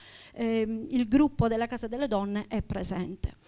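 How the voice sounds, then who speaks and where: A woman's high-pitched voice at a moderate pace, with fairly even intonation over a quiet background. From Sicily. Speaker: teacher. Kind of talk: public talk. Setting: stage with audience. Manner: halting. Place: hall. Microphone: handheld.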